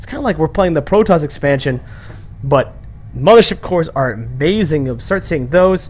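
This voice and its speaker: Loudness swings widely as a man talks at a moderate pace. Noticeable background noise runs underneath. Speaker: gaming commentator. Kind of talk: game commentary. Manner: stuttering; casual.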